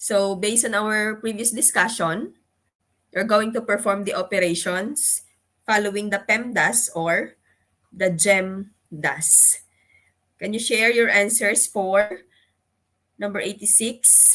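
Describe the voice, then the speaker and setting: A woman's bright, sharp voice at a medium pitch, with fairly even intonation and a very slow pace. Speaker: exam review lecturer. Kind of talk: lecture.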